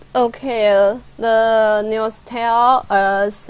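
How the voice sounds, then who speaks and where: Recorded very cleanly against a silent background, a woman speaks at a fairly high pitch. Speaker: English learner. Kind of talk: one-on-one English lesson. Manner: halting.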